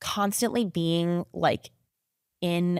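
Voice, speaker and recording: In a very clean recording with a silent background, a woman speaks at a fairly low pitch. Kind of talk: podcast interview. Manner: talks a lot and loudly, by own account; fast, chatty, many fillers.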